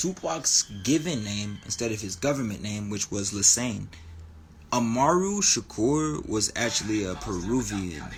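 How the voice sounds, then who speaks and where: Speaking at a fairly slow pace, a man with a fairly low pitch uses lively intonation in a somewhat breathy voice. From New Mexico, Albuquerque. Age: 20s. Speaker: spirituality livestreamer. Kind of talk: casual livestream talk. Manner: animated.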